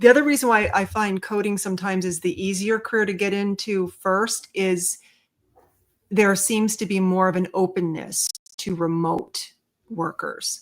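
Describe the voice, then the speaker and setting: A woman speaks at a moderate pace in a plain, everyday voice. Her pitch sits in the middle, and her intonation stays fairly even. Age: 60s. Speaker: medical coding educator and webinar host. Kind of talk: live Q&A podcast with callers. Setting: online live stream with guests joining on stage. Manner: casual, many fillers and restarts.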